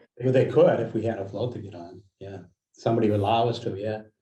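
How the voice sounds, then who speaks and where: A man with an American accent talks at a very fast pace in a medium pitch with monotone, flat intonation. His loudness swings widely, and audible room echo surrounds him. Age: 60s. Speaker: community organizer. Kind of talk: meeting discussion.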